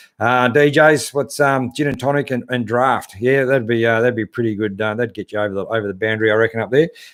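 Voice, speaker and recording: Speaking at a very fast pace with an Australian accent, a man hardly pauses, his medium pitch held in fairly even intonation. The recording is very clean, with a silent background. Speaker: 4WD channel host. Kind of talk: live stream chat reading viewer comments. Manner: casual, hesitant with many fillers.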